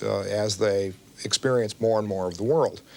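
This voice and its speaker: A man speaks in an unremarkable speaking voice with an American accent. His pitch is fairly low, with ordinary variation. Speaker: game designer. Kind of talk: interview answer.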